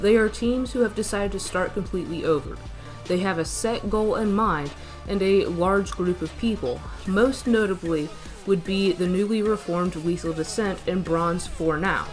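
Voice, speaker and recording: A woman speaks at a moderate pace and a medium pitch, with ordinary pitch variation and music in the background. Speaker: mobile game commentator. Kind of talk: game analysis narration.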